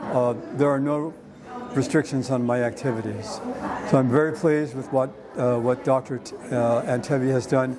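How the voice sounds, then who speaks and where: The speech moves at a moderate pace with fairly even intonation. Audible room echo and noticeable background noise surround it. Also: man, medium pitch for a man. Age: 70s. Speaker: hip replacement patient. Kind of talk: testimonial. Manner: halting, with fillers and restarts.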